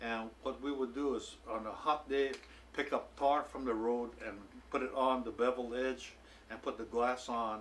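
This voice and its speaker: A man speaks at a moderate pace with a Hawaiian accent and a flat, monotone delivery over light background noise. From Hawaii (Hilo). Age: 70s. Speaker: retired swimming coach and author. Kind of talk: casual storytelling and show-and-tell. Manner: relaxed, frequent filler pauses. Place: home room.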